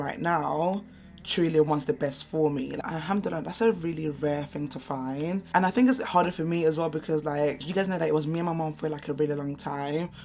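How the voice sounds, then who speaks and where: Over music in the background, a woman with a London accent speaks at a fairly quick pace in a very deep, low pitch with ordinary pitch variation. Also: hardly any pauses. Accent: London English with Nigerian heritage. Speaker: beauty vlogger. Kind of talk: casual chat. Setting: at home. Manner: loud.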